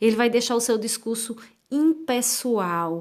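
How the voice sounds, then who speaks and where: A woman with an ordinary speaking voice talks at a fairly slow pace. Her pitch is fairly high with ordinary variation, on a very clean recording with a silent background. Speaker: writing teacher. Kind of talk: lecture.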